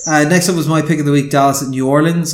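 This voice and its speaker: A man with an Irish accent, fairly high in pitch, at a very fast pace. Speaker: sports podcast host. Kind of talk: casual chat. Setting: remote call.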